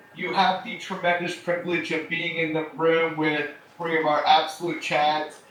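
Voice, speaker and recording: A man's high-pitched voice with an American accent, monotone and flat, at a moderate pace, with audible room echo and noticeable background noise. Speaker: company co-founder and educator. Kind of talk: lecture. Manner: casual.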